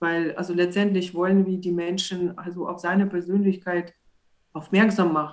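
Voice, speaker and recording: Her intonation monotone and flat, a woman speaks at a fairly low pitch and a moderate pace. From Belarus. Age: 30s. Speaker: church street evangelist. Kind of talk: casual chat.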